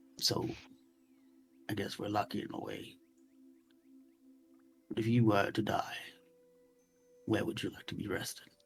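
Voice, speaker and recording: A raspy man in a put-on character voice speaks at a moderate pace with fairly low pitch and long, frequent pauses. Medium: actual play. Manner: earnest, measured.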